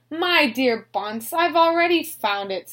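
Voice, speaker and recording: Using a put-on character voice, a woman speaks at a high pitch with very wide pitch swings. She moves at a fairly slow pace. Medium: read story.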